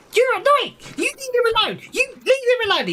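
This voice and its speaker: A put-on character voice, extremely high-pitched, shrill and squeaky. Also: moderate pace. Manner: annoying, shrill.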